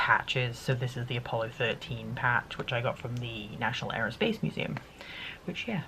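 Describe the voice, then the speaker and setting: Over noticeable background noise, a woman with a very deep, low pitch speaks with fairly even intonation. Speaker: YouTuber sharing monthly favourites. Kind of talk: casual chat.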